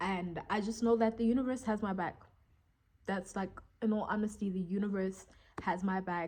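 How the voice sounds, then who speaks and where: A woman speaks in an unremarkable speaking voice. Her pitch sits fairly high, and her intonation stays fairly even. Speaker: vlogger. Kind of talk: casual monologue vlog. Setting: talking to camera.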